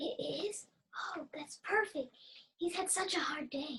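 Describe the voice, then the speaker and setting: Delivered at a fairly slow pace, this is a put-on character voice. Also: woman, extremely high pitch for a woman. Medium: stage play. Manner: blunt, earnest.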